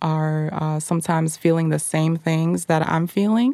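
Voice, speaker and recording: A woman speaks at a fairly slow pace in a fairly low pitch. The recording is very clean, with a silent background. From US, Haitian immigrant family. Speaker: poet and performer. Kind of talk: interview. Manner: hesitant, many fillers.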